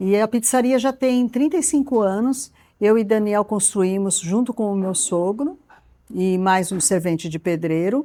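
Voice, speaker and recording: This woman has a dark, mellow tone at a medium pitch. Her intonation is lively, and the recording is very clean with a silent background. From Brazil, São Paulo city. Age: 60s. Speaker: traveler and restaurant owner. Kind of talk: casual personal storytelling.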